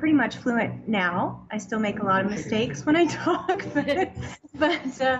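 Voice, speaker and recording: Over noticeable background noise, a woman with a Canadian accent speaks at a fairly slow pace with very wide pitch swings. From Canada, Toronto. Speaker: food tour business owner. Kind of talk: interview. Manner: hesitant, many fillers.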